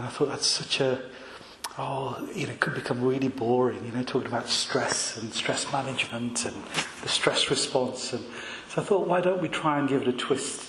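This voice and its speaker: Noticeable background noise and audible room echo surround this recording of a man. He speaks at a medium pitch with ordinary pitch variation. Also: moderate pace. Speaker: clinical psychologist. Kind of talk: public talk. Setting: talk to a live audience in a room. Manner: hesitant, many fillers.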